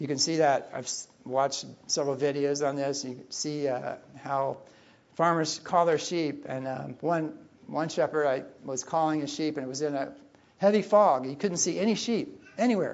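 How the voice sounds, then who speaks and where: With an unremarkable speaking voice, a man talks at a moderate pace, his pitch fairly high and his pitch variation ordinary. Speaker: preacher. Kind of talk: sermon. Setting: church.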